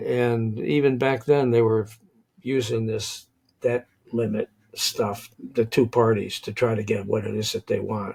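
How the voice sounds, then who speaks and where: He speaks at a fairly slow pace with fairly even intonation. This man's voice is medium in pitch and somewhat breathy. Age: 80s+. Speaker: podcast host. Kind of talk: interview.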